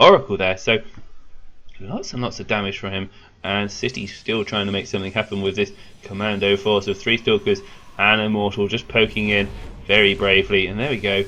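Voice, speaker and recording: A man speaks with a British accent. His pitch is fairly low, and his pace is fairly quick. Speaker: esports caster. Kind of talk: live commentary. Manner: animated.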